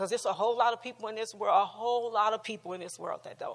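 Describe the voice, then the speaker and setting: A woman with a fairly high pitch speaks in an animated tone. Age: 60s. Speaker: relationship class teacher. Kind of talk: teaching talk with personal testimony. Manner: animated, repetitive; halting.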